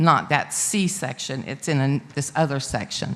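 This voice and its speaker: Ordinary pitch variation from a woman at a moderate pace, noticeable background noise throughout. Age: 70s. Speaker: resident speaking at public hearing. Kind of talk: public comment at city board meeting. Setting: city board meeting room with PA microphone. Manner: halting.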